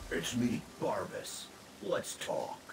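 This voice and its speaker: A man does a put-on character voice over clear background noise. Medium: video game. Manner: casual, wisecracking.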